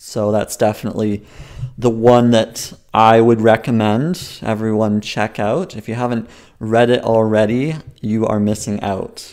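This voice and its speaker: A man with an unremarkable speaking voice, medium in pitch, at a moderate pace on a very clean recording with a silent background. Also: fairly even intonation. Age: 20s. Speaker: comedian. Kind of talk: comedy sketch interview.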